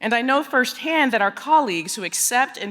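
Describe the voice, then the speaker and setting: A woman with a Texas accent speaks at a moderate pace in a fairly high pitch, her voice making very wide pitch swings. The recording is very clean, with a silent background. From East Texas. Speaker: education executive. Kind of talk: conference speech. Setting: stage with audience. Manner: formal.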